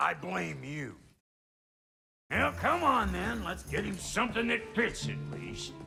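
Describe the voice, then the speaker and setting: A gruff, put-on character voice moves at a fairly slow pace with long, frequent pauses. Faint music plays in the background. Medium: video game. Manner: gruff, crude, blunt.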